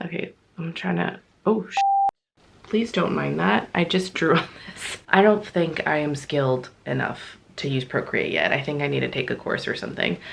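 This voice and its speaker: There is noticeable background noise as a woman speaks at a moderate pace. Her pitch is very deep and low, with very wide swings. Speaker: polymer clay crafter, video creator. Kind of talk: casual craft vlog narration.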